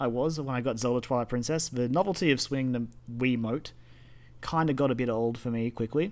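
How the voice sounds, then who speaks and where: A man uses a normal speaking voice at medium pitch, with ordinary pitch variation. He moves at a fairly quick pace on a very clean recording with a silent background. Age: 20s. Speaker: gaming podcast co-host. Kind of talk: casual chat.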